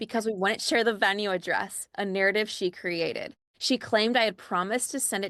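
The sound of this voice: The background stays quiet. Someone reads in an unforced reading voice.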